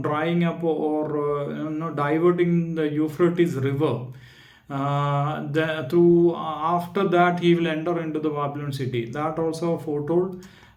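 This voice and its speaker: A man with a non-native accent speaks in a fairly high pitch for a man, his intonation monotone and flat. His pace is fairly slow, and the room echo is audible. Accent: non-native, self-noted pronunciation issues. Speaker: Bible study YouTuber. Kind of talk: video lecture on Bible history. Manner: halting, many fillers.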